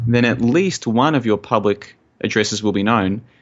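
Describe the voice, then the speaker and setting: A man speaks with an Australian accent. His pitch is fairly low and varies in an ordinary way. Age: 30s. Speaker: conspiracy researcher and blogger. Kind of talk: interview conversation.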